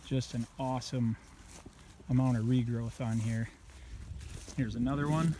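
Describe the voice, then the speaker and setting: A man speaks at a medium pitch with a dark, mellow tone and fairly even intonation. His pace is moderate, with long, frequent pauses. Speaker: habitat consultant. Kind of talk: outdoor video tutorial. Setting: outdoors. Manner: casual; quiet.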